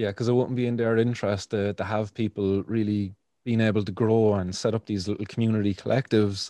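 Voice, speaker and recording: A man's very fast, monotone, flat delivery in a Cork accent, fairly low in pitch with a dark, mellow tone, dry and close with no echo, over a quiet background. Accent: Irish (Cork). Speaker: podcast host and cannabis activist. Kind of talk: interview, casual chat. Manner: fillers, hesitant, casual.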